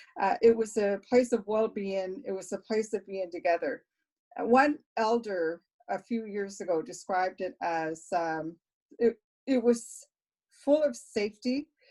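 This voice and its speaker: A woman speaks at a fairly slow pace with a dark, mellow tone. Her intonation is lively. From Nova Scotia, Mi'kmaq community near Boat Harbour. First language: Mi'kmaq (bilingual with English). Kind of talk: panel talk, personal testimony. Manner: halting, with fillers and repeated words.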